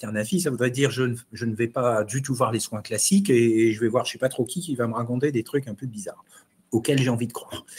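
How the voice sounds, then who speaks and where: A man's voice, medium in pitch, comes across as somewhat breathy. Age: 60s. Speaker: immunopharmacology professor and chef. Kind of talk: online webinar discussion. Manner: hesitant, repeats words.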